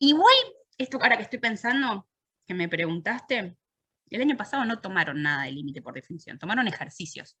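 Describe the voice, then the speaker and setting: A woman talks at a very fast pace with a bright, sharp tone, very wide pitch swings and big swings in loudness. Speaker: university math teacher. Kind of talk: lecture. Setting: online virtual class.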